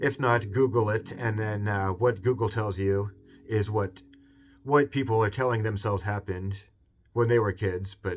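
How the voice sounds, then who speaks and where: A man's somewhat breathy, fairly low-pitched voice with a Seattle accent at a moderate pace, in a very clean recording with a silent background. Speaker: video essayist, channel host. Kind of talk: casual monologue video essay.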